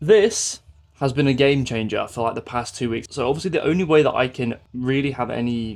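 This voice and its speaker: With an English accent, a man of medium pitch speaks at a fairly quick pace, his pitch varying in an ordinary way. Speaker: fitness coach and vlogger. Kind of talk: vlog. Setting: at home, late evening. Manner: quiet.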